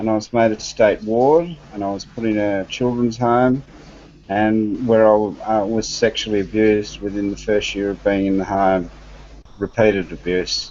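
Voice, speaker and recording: A man with an Australian accent speaks at a moderate pace, his fairly low voice carried in a fairly even intonation. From Australia (Western Australia, Victoria). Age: 60s. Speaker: adoptee panelist. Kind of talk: personal testimony. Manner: halting, many fillers.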